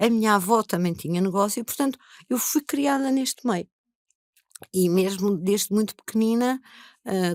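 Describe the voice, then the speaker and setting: Recorded very cleanly with a silent background and a dry, close sound with no echo, a woman of medium pitch speaks at a moderate pace in an ordinary speaking voice. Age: 60s. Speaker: investor and lawyer. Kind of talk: interview.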